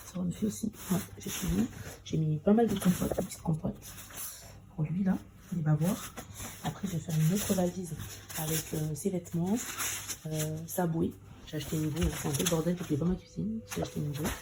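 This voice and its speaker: A woman with a fairly low pitch talks at a fairly quick pace yet leaves long, frequent pauses, her pitch varying in an ordinary way amid noticeable background noise. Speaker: vlogger, mother. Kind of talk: vlog narration.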